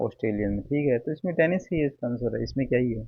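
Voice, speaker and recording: This man speaks with a Haryanvi accent at a medium pitch. His pace is moderate. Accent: Haryanvi-tinged Hindi. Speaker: exam aspirant youtuber. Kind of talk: casual tutorial. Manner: informal, conversational.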